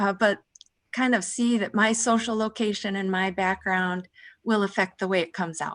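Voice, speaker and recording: A woman with an American accent at a moderate pace, fairly even intonation, very clean recording with a silent background. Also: medium pitch for a woman. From Minnesota. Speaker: college faculty member. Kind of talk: panel discussion.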